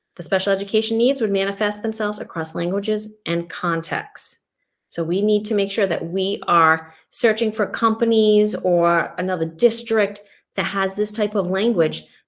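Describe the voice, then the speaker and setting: Here is a woman with a normal speaking voice and a medium pitch. She keeps a moderate pace and fairly even intonation. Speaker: educator presenting on English learners and MTSS. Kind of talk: webinar presentation.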